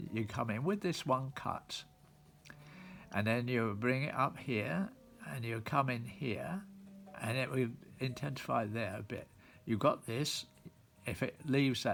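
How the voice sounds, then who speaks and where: A man at a medium pitch with lively intonation, a fairly slow pace and long, frequent pauses, with music in the background. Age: 90s. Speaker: engraving instructor. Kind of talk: tutorial. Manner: halting.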